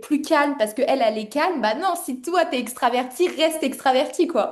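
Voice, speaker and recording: A woman speaks loudly in an animated tone, with ordinary pitch variation. Noticeable background noise is present. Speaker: online course founder and interviewer. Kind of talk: interview.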